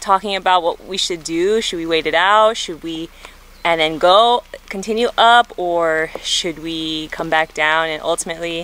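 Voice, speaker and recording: A plain, everyday voice with ordinary pitch variation, spoken at a moderate pace in a dry sound with no echo. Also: woman, fairly low pitch for a woman. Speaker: travel vlogger. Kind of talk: casual vlog chat. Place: forest. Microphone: phone near.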